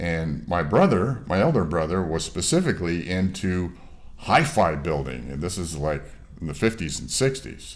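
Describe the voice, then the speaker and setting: Lively intonation and vocal fry come through in a Western New York accent, with audible room echo. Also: man. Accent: Western New York American. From US Northeast, Rochester, New York. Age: 60s. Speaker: mastering engineer. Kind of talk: interview. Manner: halting, many fillers.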